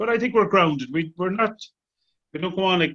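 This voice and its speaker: Very fast and high-pitched, a man talks with an Irish accent in a bright, sharp tone. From Ireland. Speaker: tenor singer. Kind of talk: casual interview chat.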